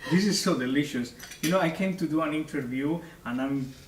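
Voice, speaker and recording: With a Spanish accent, a man talks at a fairly high pitch with ordinary pitch variation, in audible room echo. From Spain. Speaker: opera singer. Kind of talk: interview. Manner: halting.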